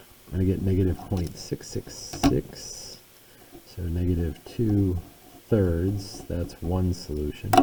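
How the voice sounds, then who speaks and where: Over noticeable background noise, a man talks with a very deep, low pitch. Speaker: math teacher. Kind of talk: tutorial.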